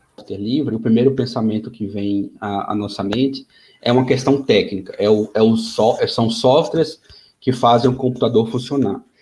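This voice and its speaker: Speaking at a moderate pace, a man has a medium pitch, a dark, mellow tone, a somewhat breathy quality and fairly even intonation. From Brazil, Maceió (Alagoas, Northeast). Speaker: software developer, invited speaker. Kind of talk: webinar talk. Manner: halting, many fillers.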